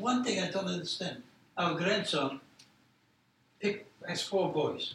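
Someone with a Polish accent speaks at a fairly slow pace with ordinary pitch variation over noticeable background noise. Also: man, high pitch for a man. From Poland. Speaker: Holocaust survivor and educator. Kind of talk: testimony. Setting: university roundtable with live audience.

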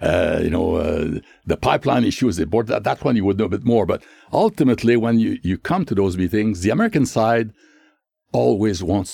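A man in a Quebec accent speaks at a fairly quick pace with a fairly low pitch, a dark, mellow tone and lively intonation, in a dry, close sound with no echo. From Quebec, Canada (Shawinigan). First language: French. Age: 80s+. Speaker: retired diplomat. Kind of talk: interview. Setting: studio. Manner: halting.

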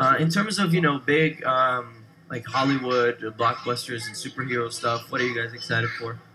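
A man's medium-pitched voice at a moderate pace with ordinary pitch variation, over noticeable background noise. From Brazil. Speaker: radio host. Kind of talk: casual interview. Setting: studio.

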